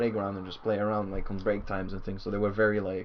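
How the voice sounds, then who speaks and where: Very fast, monotone, flat speech from a man at fairly low pitch, with audible room echo. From southern Brazil. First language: Portuguese. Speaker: bass player in a band. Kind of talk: casual chat.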